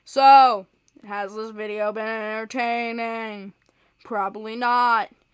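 A woman's very slow, deadpan delivery at a fairly high pitch, with monotone, flat intonation. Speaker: gaming youtuber. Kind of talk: gameplay commentary.

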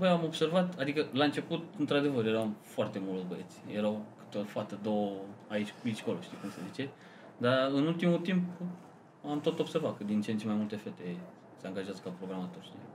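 Very wide pitch swings at a fairly quick pace, with noticeable background noise. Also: man, medium pitch for a man. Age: 20s. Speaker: software developer. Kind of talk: casual chat.

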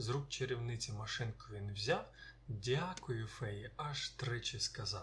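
Pitch moves with ordinary variation. The reading voice is natural.

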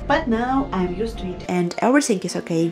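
Loud background noise behind a woman's moderately paced speech. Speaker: coffee shop worker. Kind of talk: vlog narration. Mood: cheerful. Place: cafe. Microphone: phone near.

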